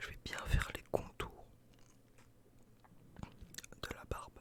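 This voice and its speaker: Whispering over noticeable background noise. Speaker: ASMR creator. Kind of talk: ASMR roleplay as a barber. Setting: studio, close microphone.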